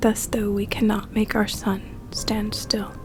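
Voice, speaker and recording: Music plays in the background as a soft-spoken voice moves at a very slow pace. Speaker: college student. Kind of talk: poetry reading. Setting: soothing background music.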